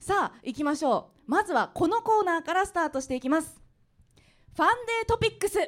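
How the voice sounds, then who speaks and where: On a very clean recording with a silent background, a woman speaks at an extremely high pitch and a fairly quick pace, her pitch swinging very widely. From Aichi, Anjo. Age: 30s. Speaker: radio DJ. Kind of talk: live public interview. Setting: live venue with audience.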